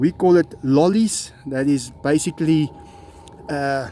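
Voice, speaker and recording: Music plays in the background as a man speaks with an Afrikaans accent. His pace is very slow. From South Africa. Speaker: big cat keeper. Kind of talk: casual talk to camera.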